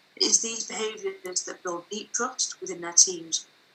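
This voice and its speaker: With a northern English accent, a woman speaks at medium pitch with ordinary pitch variation over noticeable background noise. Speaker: author. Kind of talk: reading aloud.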